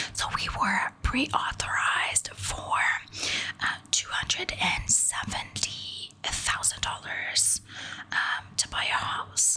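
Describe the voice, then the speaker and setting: Someone is whispering at a very slow pace. Noticeable background noise runs underneath. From Quebec, Canada. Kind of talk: ASMR whisper ramble, casual talk to camera. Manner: whispered, soft-spoken.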